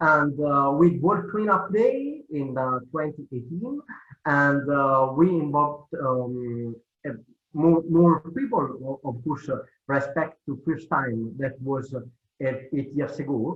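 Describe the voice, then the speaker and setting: Very slowly and with an Italian accent, a man speaks in a fairly high pitch with ordinary pitch variation. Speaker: cleanup organization leader. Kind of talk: presentation. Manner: halting.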